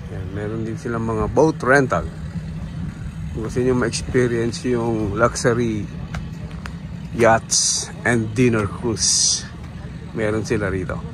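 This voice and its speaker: Over noticeable background noise, a man talks at a very slow pace in a dry sound with no echo. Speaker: cycling vlogger. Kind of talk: casual vlog chat. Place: waterside.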